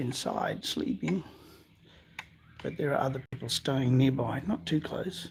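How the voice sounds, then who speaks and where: A soft-spoken man with an Australian accent, medium pitch, moderate pace and vocal fry. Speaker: amateur science vlogger. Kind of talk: live stream narration. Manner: halting.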